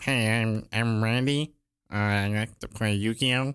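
This man uses a put-on character voice. He talks at a fairly slow pace. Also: medium pitch for a man. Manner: cartoonish.

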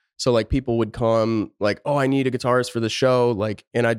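A man with an American accent talks in a plain, everyday voice at a medium pitch and a fairly quick pace. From Pennsylvania. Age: 30s. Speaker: rock guitarist and producer. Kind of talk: casual interview chat.

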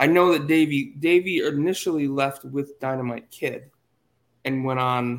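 Using an ordinary speaking voice, a man talks with an American accent and fairly even intonation. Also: fairly high pitch for a man, moderate pace. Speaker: podcast host. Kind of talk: casual chat.

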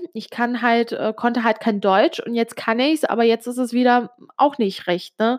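This woman has a fairly high pitch. She speaks at a fairly slow pace. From Switzerland, Italian family. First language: Italian (speaking German). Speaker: podcaster. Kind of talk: personal monologue. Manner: hesitant, many fillers.

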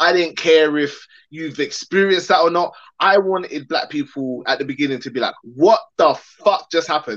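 Animated in tone, a man with a London accent speaks at a moderate pace in a fairly high-pitched voice with ordinary pitch variation. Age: 30s. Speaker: film director. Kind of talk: casual interview.

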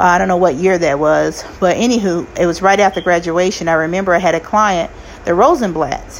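A woman talking at a fairly quick pace with very even loudness over noticeable background noise. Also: fairly low pitch for a woman, ordinary pitch variation. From US South (Arkansas) and Kansas City. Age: 40s. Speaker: podcast host, nursing assistant. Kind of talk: casual solo monologue. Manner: animated.

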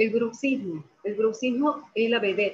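A woman is speaking. Her pace is very slow. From Argentina. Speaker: physiotherapist and lecturer. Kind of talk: presentation with slides. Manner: halting, many fillers.

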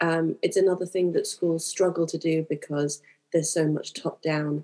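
Her pitch very deep and low, a woman speaks with a British accent and fairly even intonation. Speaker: primary tutor and school leader. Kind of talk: panel discussion.

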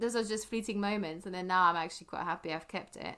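Ordinary pitch variation marks a woman's bright, sharp-toned voice. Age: 40s. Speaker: podcaster. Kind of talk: casual chat.

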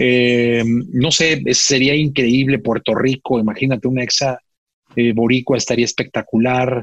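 A man's unremarkable speaking voice at medium pitch, fairly slow and fairly even in intonation, with very even loudness and a dry, close sound with no echo. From Mexico, Guadalajara. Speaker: radio producer and broadcaster. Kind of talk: casual interview chat.

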